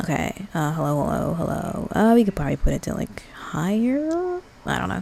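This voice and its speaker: A soft-spoken woman talks against noticeable background noise. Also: moderate pace. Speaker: streamer. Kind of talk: casual chat. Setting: live stream. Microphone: mic filters being adjusted, may sound bad.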